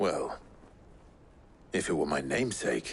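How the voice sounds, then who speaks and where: A man puts on a character voice that is raspy and very deep, with a low pitch. He speaks at a moderate pace over clear background noise. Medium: video game.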